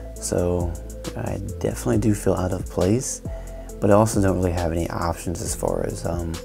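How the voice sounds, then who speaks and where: Moderate-paced speech from a man over clear background music. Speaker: artist vlogger. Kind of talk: casual vlog chat. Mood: reflective, thoughtful. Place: home room.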